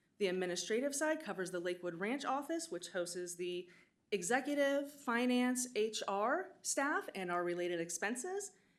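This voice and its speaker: A woman speaks loudly at a moderate pace in a fairly high voice. Her pitch swings very widely. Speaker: water authority finance staff presenter. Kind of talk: formal budget presentation. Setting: public board meeting in county building. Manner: formal.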